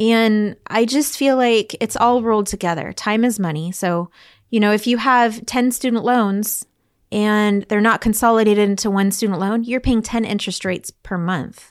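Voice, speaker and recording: On a very clean recording with a silent background, a woman speaks at a moderate pace with a fairly high pitch and ordinary pitch variation. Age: 40s. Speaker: credit restoration specialist. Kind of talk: interview. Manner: animated.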